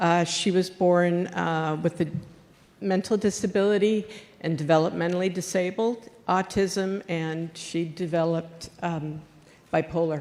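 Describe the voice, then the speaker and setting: In an American accent, a woman with a plain, everyday voice talks at a fairly slow pace, her pitch fairly low and her intonation fairly even. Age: 60s. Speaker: union leader and home care worker. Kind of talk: public question at a town hall.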